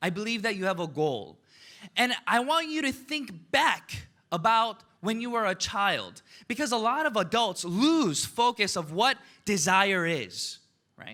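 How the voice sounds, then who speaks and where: Raising and projecting his high voice, a man with an American accent sounds animated, with a bright, sharp tone and lively intonation. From United States, Korean immigrant family. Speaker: motivational business speaker. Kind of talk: motivational speech.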